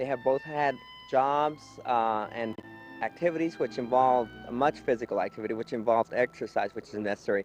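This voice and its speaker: Over music in the background, the voice moves at a fairly quick pace with ordinary pitch variation, the sound dry and close with no echo. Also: man, medium pitch for a man. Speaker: gerontology worker. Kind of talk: interview answer.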